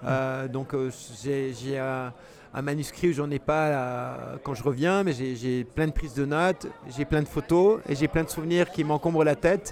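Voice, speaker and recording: A man's fairly high voice at a fairly slow pace, with ordinary pitch variation. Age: 60s. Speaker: travel writer and cyclist. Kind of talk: interview. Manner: hesitant, many fillers.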